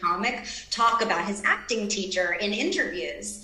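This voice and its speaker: At a moderate pace, a woman talks in a room with audible echo. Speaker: remote guest actor. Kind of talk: interview answer. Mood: animated, reflective storytelling. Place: home room. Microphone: video call.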